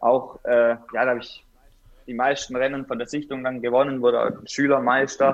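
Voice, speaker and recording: Pitched at a medium level, the man keeps a moderate pace. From Swabia, Bad Urach (Baden-Württemberg). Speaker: mountain bike racer. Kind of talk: casual interview.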